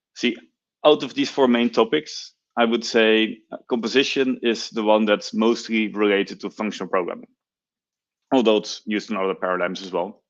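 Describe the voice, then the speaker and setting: A man's medium-pitched voice with a Dutch accent, at a moderate pace with ordinary pitch variation, over a quiet background. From Netherlands. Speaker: software engineer, conference speaker. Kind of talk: technical talk.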